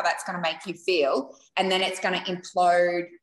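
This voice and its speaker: A woman with an Australian accent. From Australia, Queensland (Rockhampton). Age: 40s. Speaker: small business owner. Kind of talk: interview.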